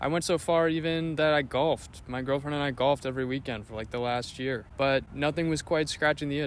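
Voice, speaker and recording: Speaking at a fairly quick pace, a man has an unremarkable speaking voice. His pitch is medium and his intonation fairly even. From Canada, small-town Ontario. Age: 20s. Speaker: vlogger. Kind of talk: casual vlog narration.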